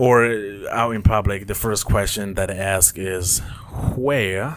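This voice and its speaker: Noticeable background noise sits behind a man with a fairly low pitch. He speaks at a fairly slow pace with ordinary pitch variation. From Mozambique. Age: 20s. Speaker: podcast host. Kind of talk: casual monologue. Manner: rambling, hesitant with fillers; accent shifts while speaking.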